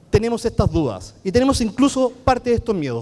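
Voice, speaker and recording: A man speaks with a Chilean accent at a high pitch. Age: 40s. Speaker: architect and BIM consultant. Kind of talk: conference talk. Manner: fast.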